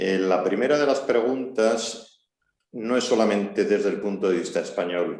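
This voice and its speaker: Speaking fairly slowly, a man keeps to a medium pitch. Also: ordinary pitch variation. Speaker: army colonel, seminar speaker. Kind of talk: seminar talk.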